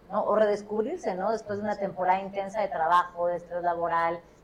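A woman talks at medium pitch and a fairly quick pace, her intonation monotone and flat. Noticeable background noise is present. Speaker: podcast host. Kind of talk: casual chat.

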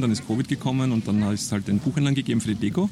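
Noticeable background noise sits under a man's medium-pitched voice, which shows ordinary pitch variation. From Lower Austria, Perchtoldsdorf south of Vienna. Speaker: crime novelist. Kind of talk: casual interview chat.

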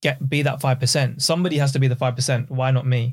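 A man's medium-pitched, somewhat breathy voice delivers his words with monotone, flat intonation. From East London and Essex, Pakistani family. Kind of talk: casual chat.

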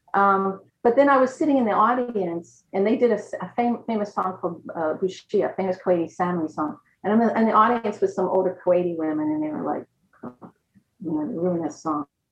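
Her intonation is lively and her pitch medium, at a fairly quick pace. The woman has an ordinary speaking voice. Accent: American. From USA. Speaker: music professor. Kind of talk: interview on video call. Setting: video call.

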